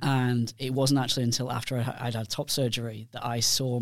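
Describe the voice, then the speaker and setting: A man with a British accent speaks at medium pitch and a moderate pace, in a flat monotone. The recording is very clean, with a silent background. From United Kingdom. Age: 40s. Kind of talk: casual chat.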